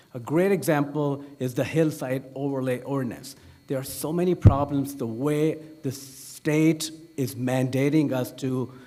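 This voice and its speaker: At a fairly slow pace, a man with a fairly high pitch keeps his intonation fairly even, and audible room echo surrounds his voice. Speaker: city council candidate. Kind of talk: candidate forum answer. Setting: meeting hall forum.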